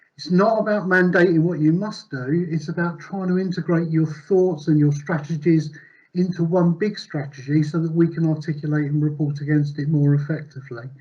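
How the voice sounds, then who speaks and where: This man talks at a fairly quick pace and fairly high pitch, with hardly any pauses and fairly even intonation. The room echo is audible. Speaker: conference presenter. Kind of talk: conference presentation. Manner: fast.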